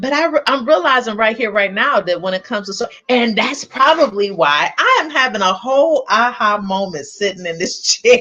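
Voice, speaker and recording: A woman's animated, fairly high voice with lively intonation, a moderate pace and hardly any pauses, over noticeable background noise. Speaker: live stream host, coach. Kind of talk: live stream talk to viewers. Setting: live stream. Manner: loud.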